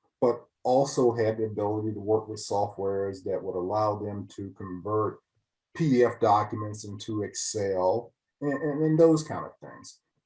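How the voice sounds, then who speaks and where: A man's somewhat breathy voice at a moderate pace, with big swings in loudness, ordinary pitch variation and a quiet background. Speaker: financial services business owner. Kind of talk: client testimonial interview. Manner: hesitant, with fillers and repetitions.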